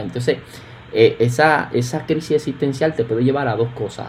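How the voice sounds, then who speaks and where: With music in the background, a man talks at a fairly quick pace with fairly even intonation. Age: 20s. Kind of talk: casual chat. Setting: remote recording.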